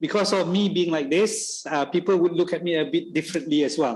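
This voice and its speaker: A man talks with ordinary pitch variation. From Malaysia, Sarawak. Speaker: university lecturer. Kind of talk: guest lecture Q&A. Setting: lecture room with audience. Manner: halting, many fillers.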